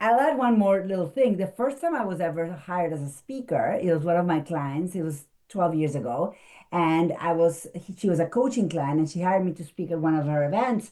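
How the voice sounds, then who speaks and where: A woman with a non-native accent talks at a fairly quick pace with lively intonation. Her fairly low pitch carries a dark, mellow tone in a very clean recording with a silent background. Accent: foreign. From abroad, non-English-speaking country. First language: not English. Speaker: speaker coach and marketing consultant. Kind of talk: interview.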